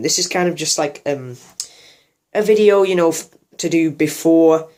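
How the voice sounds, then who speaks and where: The man's voice sits high in pitch. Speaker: YouTuber, music reviewer. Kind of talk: casual vlog monologue. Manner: halting, unscripted with many fillers.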